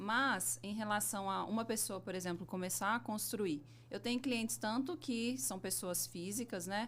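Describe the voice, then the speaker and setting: A woman with a Minas Gerais accent, vocal fry, lively intonation and a fairly slow pace. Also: medium pitch for a woman, hardly any pauses. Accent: Minas Gerais accent, sing-song. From Minas Gerais, Brazil (Belo Horizonte). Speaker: civil engineer, business owner. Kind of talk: podcast interview.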